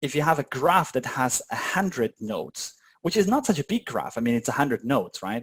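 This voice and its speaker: A somewhat breathy, fairly high male voice at a fairly quick pace, very wide pitch swings, and a dry, close sound with no echo. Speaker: meetup presenter learning quantum computing. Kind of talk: informal technical walkthrough with live audience. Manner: fast; hesitant, many fillers.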